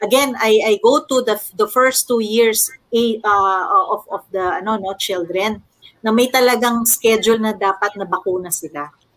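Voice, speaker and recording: In an ordinary speaking voice, a woman with a fairly high pitch speaks at a fairly slow pace. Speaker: corporate public relations officer. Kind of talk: casual panel discussion.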